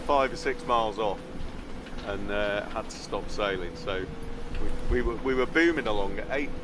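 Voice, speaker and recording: The man speaks at a moderate pace with ordinary pitch variation. Noticeable background noise runs under his voice. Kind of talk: casual vlog chat. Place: boat. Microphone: phone near.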